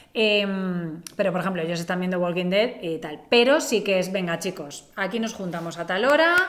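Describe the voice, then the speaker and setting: Audible room echo surrounds a woman speaking at a moderate pace. Her pitch is medium, with ordinary variation. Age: 40s. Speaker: podcast co-host. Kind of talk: casual chat.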